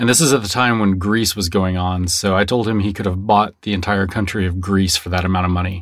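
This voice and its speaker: Speech with fairly even intonation and hardly any pauses. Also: man, fairly low pitch for a man. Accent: American. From Texas.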